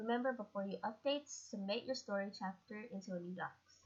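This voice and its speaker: A quiet, somewhat breathy woman's voice with ordinary pitch variation. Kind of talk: tutorial talk over slides.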